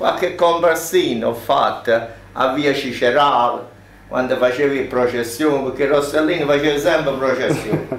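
With audible room echo and light background noise, a man speaks fairly slowly at a fairly high pitch, with very even loudness and fairly even intonation. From Campania. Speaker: former film extra; witness. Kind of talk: interview. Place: shop.

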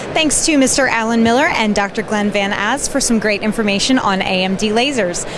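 A woman speaks at a moderate pace with ordinary pitch variation, the sound dry with no echo but with noticeable background noise. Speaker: interviewer host. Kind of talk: host sign-off. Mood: cheerful. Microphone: handheld.

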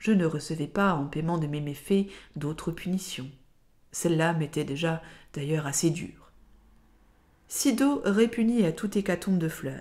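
On a very clean recording with a silent background, a woman is heard. Her tone is dark and mellow, with ordinary pitch variation. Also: fairly low pitch for a woman, fairly slow pace. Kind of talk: literary audiobook reading. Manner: slow, measured, expressive literary narration that shifts into dialogue voices; formal and lyrical, carefully phrased.

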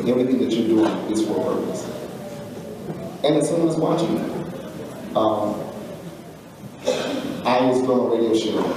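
A man speaks at a moderate pace, with long, frequent pauses and ordinary pitch variation. Noticeable background noise and strong room echo fill the recording. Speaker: author, speaker and coach. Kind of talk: commencement speech to graduates. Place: hall. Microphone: podium.

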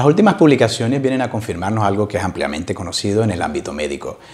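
The pace is very fast as a man speaks. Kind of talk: interview answer. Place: office. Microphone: lapel.

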